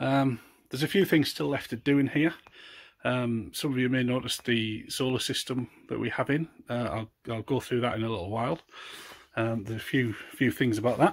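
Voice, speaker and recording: A man at a medium pitch with ordinary pitch variation, a North East England accent and a moderate pace, in a very clean recording with a silent background. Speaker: allotment holder. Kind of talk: casual talk to camera. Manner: hesitant, casual.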